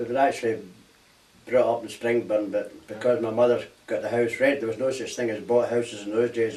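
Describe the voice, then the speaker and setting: Speaking with a Glaswegian accent, a man keeps a medium pitch and moderate pace. His intonation is fairly even. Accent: Glaswegian Scottish. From Scotland, Glasgow. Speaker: war veteran. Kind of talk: oral history interview.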